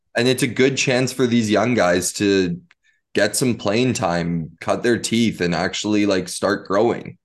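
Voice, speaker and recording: A man talks in a normal speaking voice, fairly low in pitch, with ordinary pitch variation. His pace is fairly slow, his loudness very even and the background quiet. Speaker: podcast co-host. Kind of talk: casual sports podcast chat.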